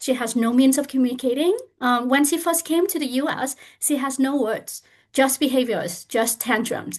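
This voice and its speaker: In a Vietnamese accent, a woman with a high pitch and lively intonation speaks at a moderate pace against a quiet background. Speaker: parent advocate. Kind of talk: panel discussion.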